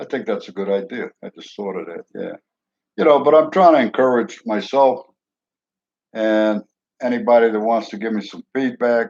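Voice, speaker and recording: With a New York accent, a man talks at a moderate pace with ordinary pitch variation and long, frequent pauses. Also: medium pitch for a man, dry, close sound with no echo. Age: 70s. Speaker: retired truck driver, vlogger. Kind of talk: casual monologue vlog. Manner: halting, repetitive stammering.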